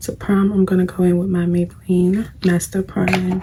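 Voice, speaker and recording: Over noticeable background noise, a woman speaks fairly slowly at a medium pitch. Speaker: beauty vlogger. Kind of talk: casual chat while doing makeup. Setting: at home, late at night. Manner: casual, conversational.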